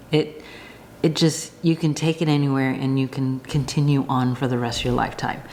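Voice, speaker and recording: Over noticeable background noise, a woman speaks in a very deep, low pitch with monotone, flat intonation. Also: fairly quick pace. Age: 50s. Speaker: knitting vlogger. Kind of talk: casual talk to camera.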